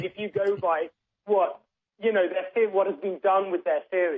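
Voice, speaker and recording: The speaker talks at a moderate pace with a British accent. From England. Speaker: political commentator guest. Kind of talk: radio interview.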